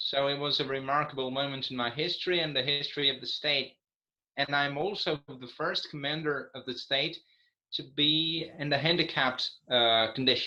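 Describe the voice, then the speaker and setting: A fairly high-pitched male voice with a Brazilian Portuguese accent. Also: fairly even intonation, moderate pace. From Brazil (Santa Catarina). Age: 20s. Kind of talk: panel discussion.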